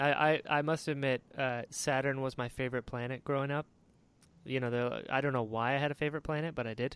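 Over a very clean recording with a silent background, a man with an American accent talks at a very fast pace and medium pitch. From North Carolina. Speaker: podcast host. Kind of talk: casual interview chat. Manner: animated.

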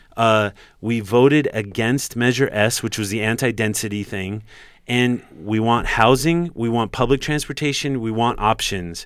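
An American accent comes through in a normal speaking voice with ordinary pitch variation at a moderate pace. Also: man, medium pitch for a man. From Los Angeles. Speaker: cycling activist. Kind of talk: debate. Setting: studio.

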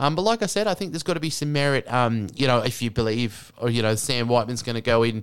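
Very fast talk from a man with an Australian accent and a medium pitch, on a very clean recording with a silent background. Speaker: fantasy sports podcaster. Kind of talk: casual solo monologue. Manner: casual, many filler words.

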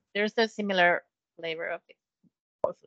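Bright and sharp in tone, a woman talks at a moderate pace with fairly even intonation in a dry, close sound with no echo. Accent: Finnish. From Finland, Kokkola. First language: Finnish. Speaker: education export specialist. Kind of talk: casual chat.

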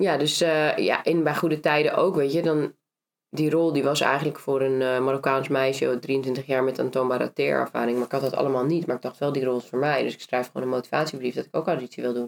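Her very deep, low voice moving at a fairly quick pace, a woman speaks with fairly even intonation. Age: 30s. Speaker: actress and entrepreneur. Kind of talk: casual interview.

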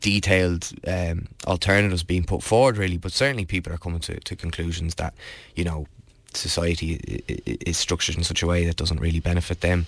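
In a Dublin accent, a man with a very deep, low pitch talks at a very fast pace with ordinary pitch variation, in a very clean recording with a silent background. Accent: Dublin Irish. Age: 20s. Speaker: political candidate. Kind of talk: interview. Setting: studio. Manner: halting.

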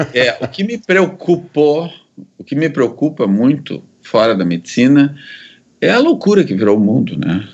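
Fairly high for a man, this voice shows very wide pitch swings and vocal fry. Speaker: psychiatrist and researcher. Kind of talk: interview, life story.

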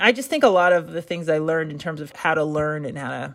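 This woman keeps a moderate pace, and the recording is very clean with a silent background. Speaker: playwright and actor. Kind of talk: interview.

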